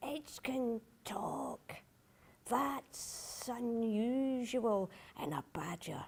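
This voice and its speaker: A woman uses a put-on character voice, fairly high in pitch, with hissing. She talks at a very slow pace with lively intonation. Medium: read story.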